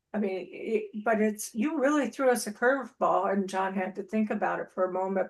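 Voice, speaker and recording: Speaking at a moderate pace, a woman uses lively intonation in a fairly high-pitched voice. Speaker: club member. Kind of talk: impromptu evaluation. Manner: halting.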